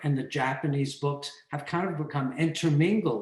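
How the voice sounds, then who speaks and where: There is audible room echo as a man speaks at a fairly high pitch. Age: 80s+. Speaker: photographer and book collector. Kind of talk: online lecture conversation.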